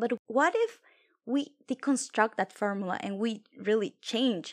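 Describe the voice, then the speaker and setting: In a strong non-native accent, a woman speaks at a fairly slow pace and a fairly high pitch. Her pitch variation is ordinary, and the sound is dry and close with no echo. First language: Spanish or French. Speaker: podcast co-host. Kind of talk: casual chat.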